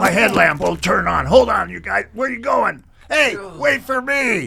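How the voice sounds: Using a put-on character voice, a man speaks at a fairly slow pace with a high pitch and ordinary pitch variation, a bright, sharp tone, vocal fry and a slightly husky edge.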